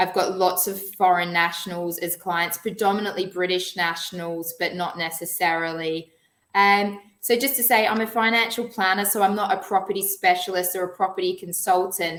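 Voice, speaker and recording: A speaker with an Australian accent. The intonation stays fairly even. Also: woman, medium pitch for a woman, moderate pace. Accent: Australian, twangy. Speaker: financial planner. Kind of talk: webinar presentation.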